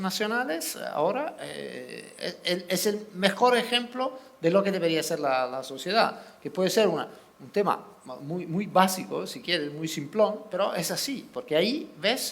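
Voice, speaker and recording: With a slight Italian accent, a man talks at a fairly slow pace in a high pitch, with lively intonation, big swings in loudness and noticeable background noise. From Italy. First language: Italian (speaking Spanish). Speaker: sports journalist. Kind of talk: panel discussion. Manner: halting, repeats words.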